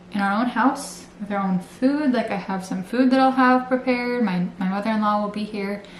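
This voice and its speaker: Against noticeable background noise and audible room echo, a woman speaks at a moderate pace with ordinary pitch variation and hardly any pauses. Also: fairly high pitch for a woman. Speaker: vlogger. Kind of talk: casual vlog talk to camera. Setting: at home, bedroom. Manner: soft-spoken, talking quietly.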